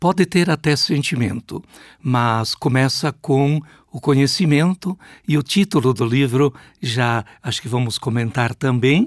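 With an unremarkable speaking voice, a man at a fairly high pitch talks fairly slowly with lively intonation, the sound dry and close with no echo in a very clean recording with a silent background. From Brazil, Rio Grande do Sul (Passo Fundo). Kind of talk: interview.

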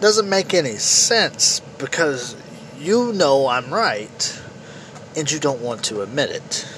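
A man with an American accent talks at a very slow pace, his pitch swinging very widely. Noticeable background noise runs under the recording. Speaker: political podcast host. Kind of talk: opinion monologue. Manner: halting, repetitive stammering.

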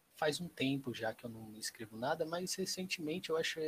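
Lively intonation from a man with a somewhat breathy voice. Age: 20s. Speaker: interior design student and amateur rapper. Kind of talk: casual chat.

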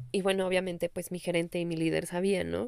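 Speaking with a Mexican accent, a woman keeps a moderate pace. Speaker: spiritual life coach. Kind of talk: casual podcast monologue.

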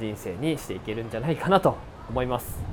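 A man speaks at a very fast pace with medium pitch over noticeable background noise. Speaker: entrepreneur podcast host. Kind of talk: solo monologue podcast. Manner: casual, filler-heavy.

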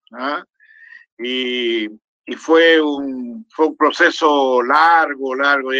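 A man's bright, sharp voice sits at a fairly high pitch, recorded dry and close with no echo. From Chile, Santiago. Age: 80s+. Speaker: historian and academic. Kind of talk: casual chat. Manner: halting, many repetitions.

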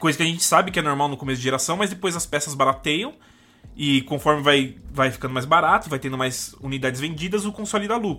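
Bright and sharp in tone, a man speaks at a very fast pace. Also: fairly high pitch for a man, ordinary pitch variation. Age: 20s. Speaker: games journalist. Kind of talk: casual chat.

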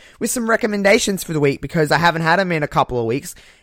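Lively intonation and an animated tone carry this voice with a strong Australian accent. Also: man. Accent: broad Australian. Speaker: podcast host. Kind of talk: casual chat.

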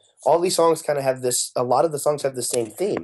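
A man talks at a fairly quick pace. His tone is dark and mellow, and the background is quiet. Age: 20s. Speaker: singer and songwriter in a pop rock band. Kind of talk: casual interview.

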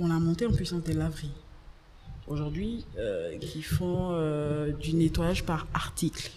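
Through audible room echo and noticeable background noise, a woman with a fairly low pitch talks at a very slow pace with fairly even intonation. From Côte d'Ivoire, Abidjan (Abobo). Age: young. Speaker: entrepreneur. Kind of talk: interview.

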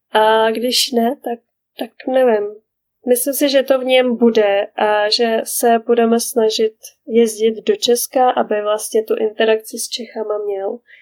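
A woman with an ordinary speaking voice talks at a fairly high pitch and a fairly slow pace. Her intonation is fairly even, and the sound is dry and close with no echo. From Czech Republic, small village. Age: 30s. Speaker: mother living abroad. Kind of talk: casual interview. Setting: remote call.

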